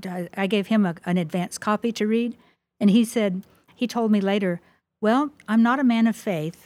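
A woman with a Midwestern accent speaks at a moderate pace, her pitch fairly high with ordinary variation. The recording is very clean, with a silent background. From US Midwest. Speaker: author. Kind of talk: interview.

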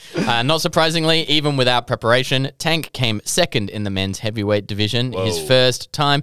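With an Australian accent and lively intonation, a man talks at a fairly quick pace with hardly any pauses, in a dry, close sound with no echo. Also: medium pitch for a man. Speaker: podcast host. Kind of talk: casual chat. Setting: studio.

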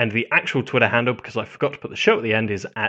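A man with a British accent talks at a very fast pace. His pitch sits in the medium range. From Britain. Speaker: podcast host. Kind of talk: casual chat.

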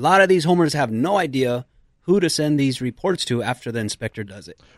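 The sound is dry and close with no echo, in a very clean recording with a silent background. A man with a fairly high pitch and lively intonation has an unremarkable speaking voice. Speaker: handyman business owner. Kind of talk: casual interview chat. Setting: studio.

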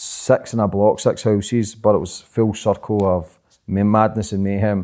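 A man with a Glaswegian accent speaks in a fairly low voice with a dark, mellow tone. The recording is very clean, with a silent background. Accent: Glaswegian Scottish. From Glasgow, Scotland. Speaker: podcaster and documentary maker. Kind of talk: interview conversation. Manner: fast.

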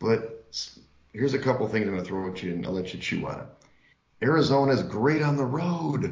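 Somewhat breathy, a man speaks with lively intonation and long, frequent pauses in a room with audible echo. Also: medium pitch for a man. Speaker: sports betting podcast co-host. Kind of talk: casual chat.

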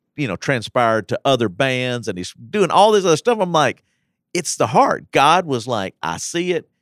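With an American accent and lively intonation, a plain, everyday voice speaks at a moderate pace on a very clean recording with a silent background. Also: man. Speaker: pastor. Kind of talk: casual chat. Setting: studio.

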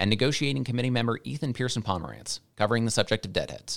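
Over a very clean recording with a silent background, a man of medium pitch speaks at a very fast pace. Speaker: union communications chair. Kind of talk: scripted intro.

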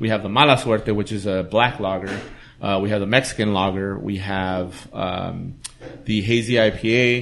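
A man with an American accent talks at a moderate pace in a normal speaking voice. His pitch is fairly low and his intonation fairly even. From East Los Angeles. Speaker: brewer. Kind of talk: casual chat.

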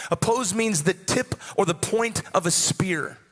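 Noticeable background noise sits behind a man's voice. His pitch is high, with ordinary variation. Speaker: pastor. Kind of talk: sermon with altar call and prayer. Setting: church with live congregation.

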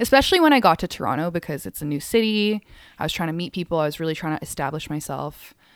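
A woman with a Canadian accent talks at a very fast pace, her fairly low pitch moving in lively intonation. The recording is very clean, with a silent background. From Hong Kong and Calgary, Canada. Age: 30s. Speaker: DJ and music writer. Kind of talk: casual chat.

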